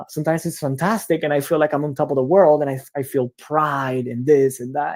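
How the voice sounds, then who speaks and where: A man's fairly high voice in a Spanish accent, fairly quick in pace and fairly even in intonation. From Cuba. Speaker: education researcher. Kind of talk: lecture. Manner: halting.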